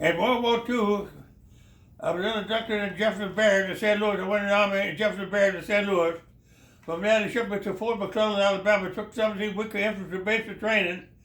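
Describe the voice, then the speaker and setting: Speaking at a very fast pace, the man has a high pitch and monotone, flat intonation. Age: 90s. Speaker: World War II veteran. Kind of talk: interview answer. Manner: halting, repetitive.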